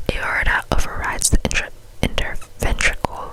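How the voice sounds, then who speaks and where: Through noticeable background noise, a woman is whispering at a fairly slow pace. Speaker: ASMR creator. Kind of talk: ASMR textbook reading, soft relaxing read-aloud. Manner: whispered, soft.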